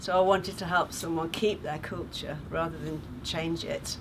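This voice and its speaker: A woman with a British accent speaks in a warm tone at a moderate pace, with noticeable background noise behind her. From England. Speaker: charity sponsor and retired teacher. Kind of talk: testimony. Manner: warm, chatty with frequent hesitations. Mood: warm, thoughtful.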